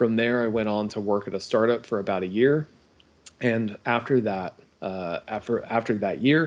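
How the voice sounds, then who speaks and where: An unremarkable speaking voice with an American accent and ordinary pitch variation. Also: man. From United States. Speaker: game studio co-founder. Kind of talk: interview.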